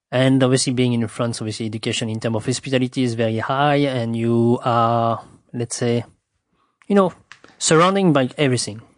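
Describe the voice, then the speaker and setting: A man with a French accent speaks at a fairly quick pace and medium pitch, with ordinary pitch variation, over a quiet background. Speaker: sommelier. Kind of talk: interview. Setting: host's home. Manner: halting, many fillers.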